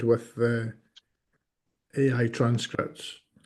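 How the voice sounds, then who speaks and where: A man is speaking. He has a strong Scottish accent. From Scotland. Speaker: working group member. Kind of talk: online work meeting.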